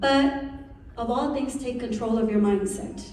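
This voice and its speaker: A woman with a Spanish accent speaks at a high pitch in an animated tone with ordinary pitch variation, over noticeable background noise and audible room echo. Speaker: incoming association president, realtor. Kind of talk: speech.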